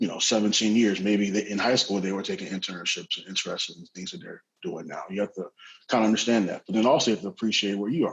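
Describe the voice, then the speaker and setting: A man talks at a fairly low pitch and a fairly quick pace, in a plain, everyday voice. His intonation is fairly even. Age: 20s. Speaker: tech startup professional. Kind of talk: panel discussion.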